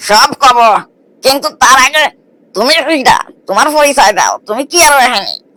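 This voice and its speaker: A high-pitched, cartoonish character voice at a moderate pace, with lively intonation and a dry, close sound with no echo. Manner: blustering, self-important.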